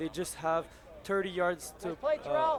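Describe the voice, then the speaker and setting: A man with a Quebec accent speaks over noticeable background noise. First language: French. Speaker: football analyst. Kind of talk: live commentary.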